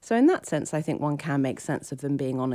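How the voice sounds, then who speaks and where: This woman's voice has a very deep, low pitch and a dark, mellow tone. The recording is very clean, with a silent background. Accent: British. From Britain. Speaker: philosophy professor. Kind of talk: interview.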